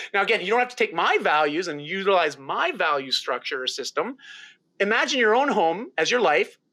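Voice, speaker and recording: With a Canadian accent, this raised, projected voice moves at a fairly quick pace, its bright, sharp tone marked by very wide pitch swings. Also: man, high pitch for a man. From rural Ontario, Canada. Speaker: lifestyle mentor and keynote speaker. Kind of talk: podcast interview. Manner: animated.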